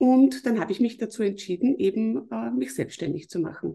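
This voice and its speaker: A woman's fairly high, somewhat breathy voice. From Lower Austria, Mostviertel. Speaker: business consultant. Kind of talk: podcast interview.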